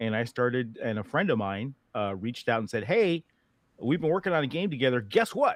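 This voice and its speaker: A man with an American accent swings his pitch very widely, recorded dry and close with no echo against a quiet background. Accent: slight Boston accent slipping in. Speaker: game developer. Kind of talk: casual interview chat.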